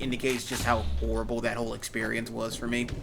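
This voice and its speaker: A man's fairly quick speech carries audible room echo amid noticeable background noise. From Louisiana. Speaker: gaming YouTuber. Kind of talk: let's play commentary. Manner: casual, halting.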